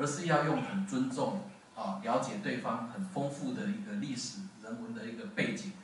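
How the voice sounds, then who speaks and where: In a room with audible echo and light background noise, a man talks at a moderate pace. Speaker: event host introducing the speaker. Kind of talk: formal introduction speech. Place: classroom.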